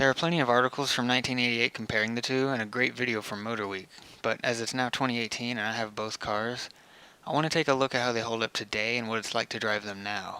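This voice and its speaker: Very fast and with fairly even intonation, a man talks at a medium pitch in a bright, sharp tone. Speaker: car video narrator. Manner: monotone.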